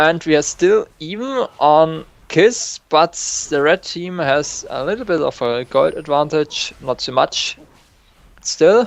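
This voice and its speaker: This man speaks at a very slow pace. He has a non-native accent. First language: not English. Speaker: novice shoutcaster. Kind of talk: live game commentary. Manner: hesitant, non-native English.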